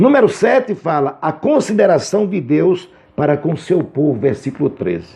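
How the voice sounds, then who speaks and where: A man speaks in a fairly high voice with vocal fry. His intonation is lively and his pace moderate. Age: 60s. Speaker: Bible teacher. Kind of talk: lecture. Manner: halting.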